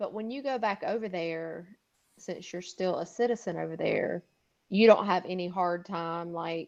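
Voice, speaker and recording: A woman speaks at a moderate pace with medium pitch and ordinary pitch variation. Her loudness swings widely against a quiet background. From US South, South Carolina. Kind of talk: casual chat.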